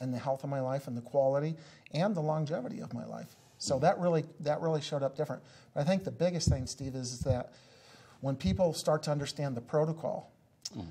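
A man's somewhat breathy, dark and mellow voice at a very fast pace, with ordinary pitch variation. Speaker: business coach. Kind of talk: interview. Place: studio. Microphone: lapel.

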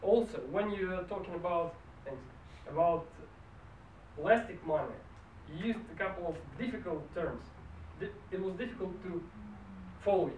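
A man with a high pitch talks at a moderate pace with ordinary pitch variation, long, frequent pauses and big swings in loudness, in a room with audible echo and light background noise. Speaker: speech evaluator at a public speaking club. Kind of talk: speech evaluation. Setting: stage with audience. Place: meeting room. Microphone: camera far.

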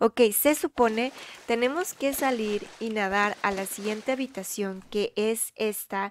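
A woman speaks quietly in an animated tone, her pitch fairly high. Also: dry, close sound with no echo, very clean recording, silent background. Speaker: Roblox gaming youtuber. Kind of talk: gameplay commentary. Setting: at home late at night. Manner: speaking quietly.

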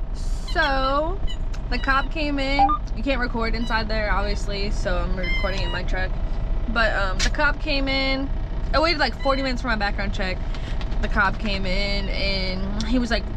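A woman talks at a moderate pace. The sound is dry with no echo, though background noise is noticeable. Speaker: truck driver vlogger. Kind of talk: casual vlog chat. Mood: frustrated, embarrassed storytelling. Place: car. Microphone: phone near.

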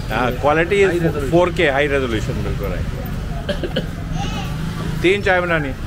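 Male speech at a fairly slow pace, broken by long, frequent pauses, over loud background noise. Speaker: travel vlogger. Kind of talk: casual talk to camera. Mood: cheerful, friendly. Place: market. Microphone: phone near.

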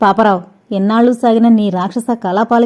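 With fairly even intonation, the clip offers an unforced reading voice.

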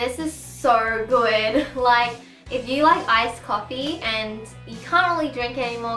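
A woman speaks in a fairly high pitch. Faint music plays in the background, and the room echo is audible. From Australia. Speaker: vlogger. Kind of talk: casual talk to camera. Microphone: camera far.

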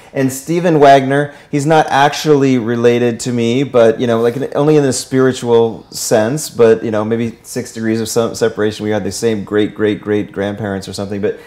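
Hardly pausing, a man speaks at a moderate pace with ordinary pitch variation. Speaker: show host. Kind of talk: talk show host introduction. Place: studio.

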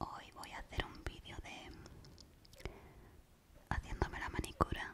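At a fairly slow pace, a woman speaks in a whisper. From Spain. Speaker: ASMR creator. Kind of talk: ASMR video. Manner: whispered. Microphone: studio mic.

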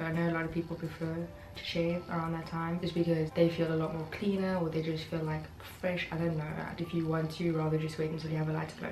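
Noticeable noise sits in the background. Over it, a woman speaks very fast. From South Africa. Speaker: lifestyle vlogger. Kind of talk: casual talk to camera. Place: home room. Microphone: camera far.

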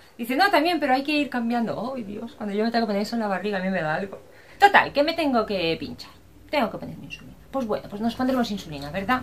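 Very wide pitch swings mark a woman speaking at a very fast pace over light background noise. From Spain. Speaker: vlogger. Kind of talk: casual vlog talk to camera. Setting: outdoors. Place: home room. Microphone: webcam.

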